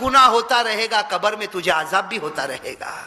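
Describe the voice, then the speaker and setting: A man speaks in a raised, projected voice, high in pitch and passionate in tone. Noticeable background noise runs underneath. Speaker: Islamic preacher. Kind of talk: Islamic sermon (bayan) to a live audience. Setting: mosque address with audience responding. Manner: passionate, rhetorical, asking the audience questions.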